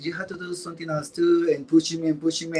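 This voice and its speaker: Noticeable background noise surrounds this recording. A man with a fairly high pitch talks at a very fast pace. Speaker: drag performer. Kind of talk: interview.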